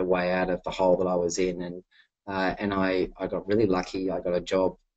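Against a quiet background, a man with an Australian accent speaks at a moderate pace with a very deep, low pitch and a dry sound with no echo. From Western New South Wales, Australia. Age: 40s. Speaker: entrepreneur and investor. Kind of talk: webinar talk with Q&A. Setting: webinar on webcam. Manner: relaxed, easy to listen to. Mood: reflective, candid. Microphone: webcam.

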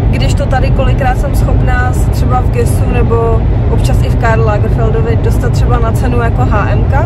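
A woman speaks over loud background noise. Her voice sounds dry, with no echo. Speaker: vlogger. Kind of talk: casual vlog chat. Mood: relaxed, cheerful. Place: car. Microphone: phone near.

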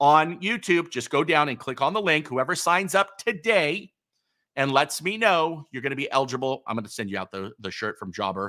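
A man's fairly high voice has a bright, sharp tone, with vocal fry and very wide pitch swings. The background is quiet. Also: fairly quick pace. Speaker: electrical contractor and online channel host. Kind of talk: live stream Q&A. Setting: live video stream. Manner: fast talker. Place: studio.

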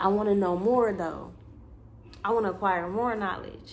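A woman speaks at a moderate pace in an animated tone, with light background noise. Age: 20s. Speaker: YouTuber and spiritual content creator; vlogger. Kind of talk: casual monologue vlog. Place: home room. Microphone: phone near.

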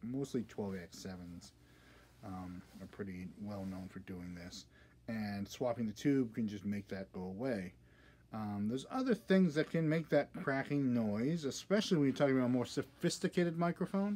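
A man speaks in a dark, mellow tone, his loudness swinging widely. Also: moderate pace. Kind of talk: tutorial. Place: workshop. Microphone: phone near.

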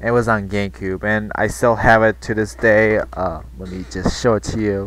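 The man's pitch is fairly low and his pace moderate. The sound is dry with no echo. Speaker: reaction channel host. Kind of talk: casual reaction video intro. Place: home room. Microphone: headset.

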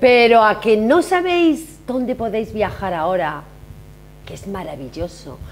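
A woman speaks with a fairly high voice. Noticeable background noise sits behind her. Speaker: TV show host. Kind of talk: casual chat. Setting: hotel. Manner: animated.

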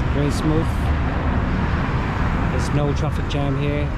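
A man speaks with ordinary pitch variation. Loud background noise runs behind him. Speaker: travel vlogger. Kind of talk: casual vlog chat. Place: street. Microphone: phone near.

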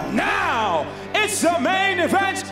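A man talks at a very slow pace while clear music sounds behind him. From UK. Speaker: ring announcer / MC. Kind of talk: ring announcer introducing fighters before a bout. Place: stadium. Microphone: handheld.

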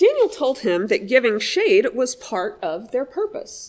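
A woman in a gentle, warm tone at a fairly slow pace, over a quiet background. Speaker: pastor. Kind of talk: audiobook-style reading aloud of a children's story in church. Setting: church service message for all ages. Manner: gentle, warm storyteller pacing, clear and measured. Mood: gentle, calm storytelling. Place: church.

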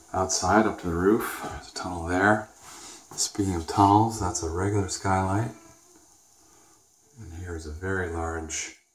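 With a very deep, low pitch, a man talks at a moderate pace and fairly even intonation, leaving long, frequent pauses, over light background noise and audible room echo. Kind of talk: casual walkthrough tour. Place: bathroom. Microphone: phone near.

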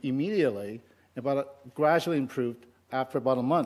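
Speaking fairly quickly, a man shows ordinary variation in his pitch. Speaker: conference speaker. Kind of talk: lecture. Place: hall. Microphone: headset.

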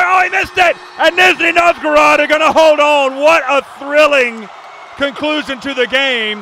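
Over crowd noise in the background, a man with an extremely high pitch speaks in a raised, projected voice with an animated tone. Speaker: sports commentator. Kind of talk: live basketball commentary, play-by-play. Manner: animated, brisk play-by-play delivery.

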